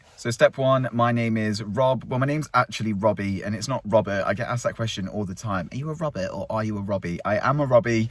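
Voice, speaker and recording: Recorded very cleanly against a silent background, a man talks at a very fast pace in a fairly low pitch with ordinary pitch variation. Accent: English. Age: 30s. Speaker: vlogger. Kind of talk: casual chat. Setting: outdoors.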